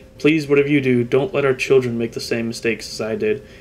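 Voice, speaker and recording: Amid noticeable background noise, a man talks at a very fast pace with a medium pitch and ordinary pitch variation. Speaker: gaming YouTuber. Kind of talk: casual gameplay commentary. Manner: casual, laughs often, self-correcting.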